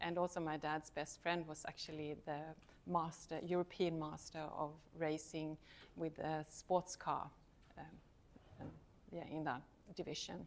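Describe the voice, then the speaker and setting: A woman's very deep, low voice with a Swedish accent, monotone and flat, at a fairly slow pace with long, frequent pauses. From Sweden. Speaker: university lecturer. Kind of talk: talk to students.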